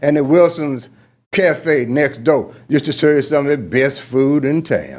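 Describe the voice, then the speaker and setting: A man with a Georgia accent and a fairly high pitch at a fairly slow pace, on a very clean recording with a silent background. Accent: Georgia Southern. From US South. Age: 80s+. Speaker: commissioner speaking at public hearing. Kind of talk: public comment. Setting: city council chamber. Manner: formal.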